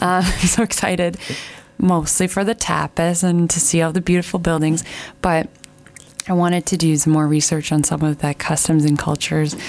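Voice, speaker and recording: With a Canadian accent, a woman talks at a moderate pace in a warm, upbeat tone, fairly low in pitch and very even in loudness, over noticeable background noise. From Canada. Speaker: radio host. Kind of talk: radio show chat. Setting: radio studio.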